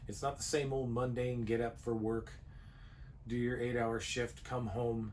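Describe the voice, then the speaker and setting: A man at medium pitch, fairly slow and monotone with flat intonation, amid noticeable background noise and audible room echo. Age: 60s. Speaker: RV travel vlogger, retired sheet metal worker. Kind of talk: casual chat.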